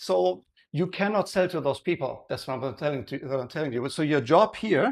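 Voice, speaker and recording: Speaking at a moderate pace, a man with a German accent uses a fairly high pitch and lively intonation. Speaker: presenter giving a talk on sales and marketing. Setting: live event, introduced by a host. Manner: conversational, checks in with audience, uses fillers.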